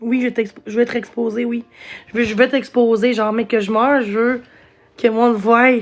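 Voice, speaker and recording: A woman speaks with a slight Gaspésie accent. Her pitch is fairly high. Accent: slight Gaspésie accent (Quebec French). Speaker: live streamer. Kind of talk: casual live stream chat. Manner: halting, many fillers.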